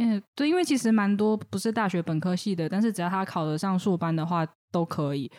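A woman's normal speaking voice at medium pitch, with lively intonation. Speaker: counseling psychologist. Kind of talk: casual chat.

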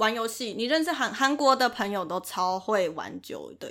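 With lively intonation, a woman speaks at a fairly slow pace in a high pitch. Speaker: recent graduate sharing study-abroad trip. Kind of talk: casual chat.

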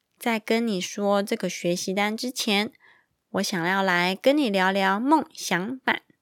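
A woman's fairly high-pitched voice at a very slow pace with ordinary pitch variation, dry and close with no echo. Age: 30s. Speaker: podcast host. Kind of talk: children's picture book podcast. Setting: recording at home at night. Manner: animated.

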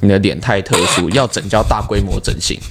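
Noticeable background noise sits under the speech. The pace is fairly quick. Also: man. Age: 20s. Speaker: comedian. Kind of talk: casual chat.

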